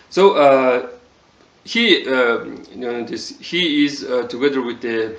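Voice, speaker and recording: Over noticeable background noise, a man speaks with a Mongolian accent. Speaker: TV show reviewer. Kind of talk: casual video review. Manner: halting, many fillers.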